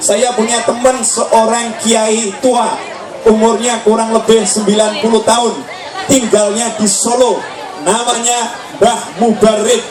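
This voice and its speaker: A man speaks very slowly at an extremely high pitch, with fairly even intonation and very even loudness. Crowd noise and audible room echo fill the background. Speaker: Islamic preacher. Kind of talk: sermon.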